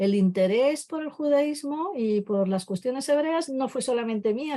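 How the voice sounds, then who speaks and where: A woman with a dark, mellow tone and lively intonation talks at a moderate pace on a very clean recording with a silent background. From Spain. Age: 60s. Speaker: literary translator and professor. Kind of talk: interview.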